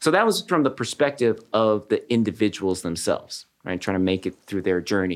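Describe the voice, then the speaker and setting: The man's pitch swings very widely. He keeps up a fairly quick pace. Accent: American. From Southern California. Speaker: neurologist and professor. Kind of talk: interview.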